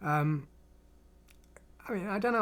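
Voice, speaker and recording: A man with a strong English accent speaks with lively intonation. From England. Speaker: programming streamer. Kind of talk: live stream chat. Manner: halting, many false starts.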